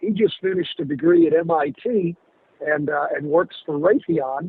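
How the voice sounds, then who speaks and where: This man's pitch sits high. His intonation is lively. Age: 60s. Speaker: attorney and university board member. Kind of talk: radio interview.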